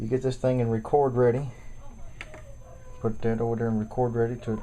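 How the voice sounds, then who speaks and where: There is noticeable background noise. The speaking pace is fairly quick. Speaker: home recording hobbyist demonstrating gear. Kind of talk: tutorial. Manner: halting, repetitive.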